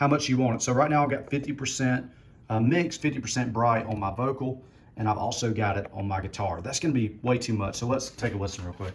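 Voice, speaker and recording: Amid audible room echo, a man with a somewhat breathy, medium-pitched voice moves at a fairly quick pace with ordinary pitch variation. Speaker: musician demonstrating PA gear. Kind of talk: tutorial. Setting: garage. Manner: casual, relaxed.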